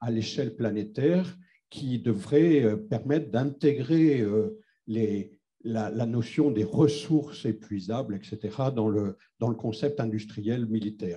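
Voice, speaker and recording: A man speaks at a very slow pace and a medium pitch. His voice is somewhat breathy, with a dark, mellow tone. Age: 60s. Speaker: audience member asking a question, retiree. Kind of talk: audience question. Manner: hesitant, many fillers.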